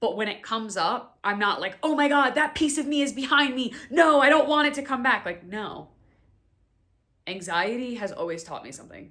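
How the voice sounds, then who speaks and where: In an American accent, the raised, projected voice sounds animated and bright, sharp, with lively intonation, big swings in loudness and a moderate pace. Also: woman, high pitch for a woman. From New York City (Staten Island). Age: 20s. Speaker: podcast host and wellness coach. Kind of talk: casual personal monologue.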